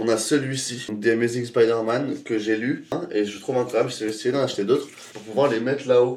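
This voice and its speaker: A man talks with fairly even intonation and a medium pitch. Noticeable background noise runs underneath. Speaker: vlogger and photographer. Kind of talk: casual vlog room tour. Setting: at home, bedroom. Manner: fast.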